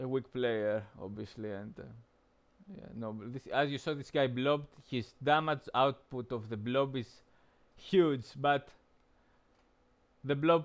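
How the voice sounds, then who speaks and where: A man's medium-pitched voice at a fairly slow pace, with ordinary pitch variation, long, frequent pauses and a quiet background. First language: not English. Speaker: game streamer. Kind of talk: gameplay commentary. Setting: live stream. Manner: halting, many fillers.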